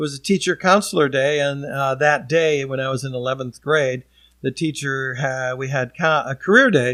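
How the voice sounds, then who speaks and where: A man talks at a moderate pace in an ordinary speaking voice, fairly high in pitch with ordinary pitch variation. The recording is very clean, with a silent background. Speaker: auctioneer and former broadcast television news journalist. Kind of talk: casual interview answer, storytelling.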